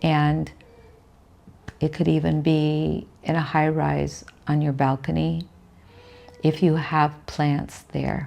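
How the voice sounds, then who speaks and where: Long, frequent pauses break up the woman's very slow delivery. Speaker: spiritual teacher. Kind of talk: spiritual teaching talk.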